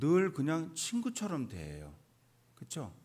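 Speaking at a fairly slow pace, a man uses a fairly high voice. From South Korea. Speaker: pastor. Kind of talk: sermon. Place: church. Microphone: podium.

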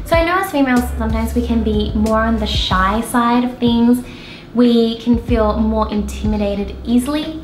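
A woman speaks at a moderate pace. Audible room echo and light background noise are present. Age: 20s. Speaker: entrepreneur; business owner vlogger. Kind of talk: vlog monologue. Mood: earnest, encouraging. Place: home room.

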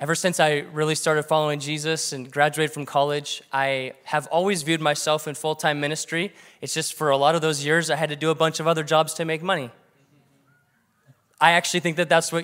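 A man at a fairly quick pace, his intonation monotone and flat, over a quiet background. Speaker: pastor. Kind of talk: sermon. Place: church. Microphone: handheld.

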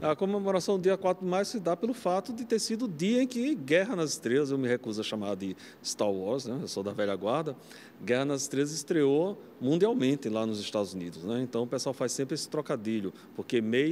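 The speech moves at a fairly quick pace with very wide pitch swings over light background noise. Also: man. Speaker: film professor; university professor. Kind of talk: interview. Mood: nostalgic, enthusiastic. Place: studio. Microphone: handheld.

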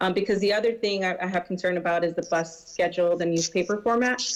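A woman at a medium pitch, at a very fast pace. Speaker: city council representative. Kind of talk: public meeting discussion. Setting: video conference.

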